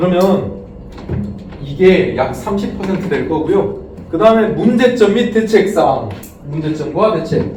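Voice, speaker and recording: A man's high-pitched voice with ordinary pitch variation and long, frequent pauses, set against noticeable background noise and audible room echo. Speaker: exam prep lecturer. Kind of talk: lecture. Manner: fast.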